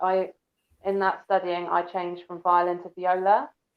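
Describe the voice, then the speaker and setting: A soft-spoken woman talks at a fairly slow pace. Her intonation is monotone and flat. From Devon, England. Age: 20s. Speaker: violist. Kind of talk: interview.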